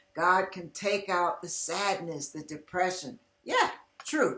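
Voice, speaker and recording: A woman speaks at a very slow pace. The room echo is audible, and the background is quiet. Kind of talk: inspirational testimony talk. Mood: earnest, heartfelt. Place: home room. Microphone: webcam.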